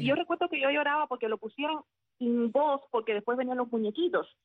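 Her voice high in pitch, a woman talks at a very fast pace. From central Cuba, Sagua la Grande. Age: 40s. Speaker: former radio announcer, now teacher. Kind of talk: interview.

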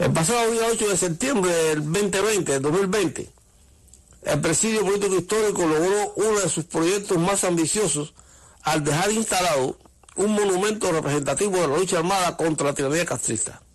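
A man speaks at a moderate pace in a high voice, his pitch varying in an ordinary way and his loudness staying very even. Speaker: radio host, former political prisoner. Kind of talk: radio talk program.

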